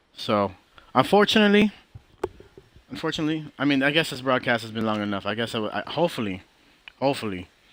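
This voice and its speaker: Very fast delivery broken by long, frequent pauses, with very wide pitch swings. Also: man, medium pitch for a man. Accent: American. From Miami, then Texas. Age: 20s. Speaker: gaming streamer. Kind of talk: live stream monologue. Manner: halting, repeats words.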